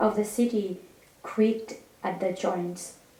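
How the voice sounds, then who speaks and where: Over noticeable background noise, a woman talks at a fairly slow pace. Her pitch is medium and her intonation monotone and flat. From Iraqi Kurdistan. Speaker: novelist. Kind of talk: reading aloud. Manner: halting, with self-corrections.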